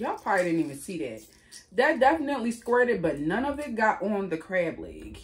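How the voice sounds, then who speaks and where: A woman's fairly quick speech with vocal fry and very wide pitch swings. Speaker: food vlogger. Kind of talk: casual vlog chat. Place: home room. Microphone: phone near.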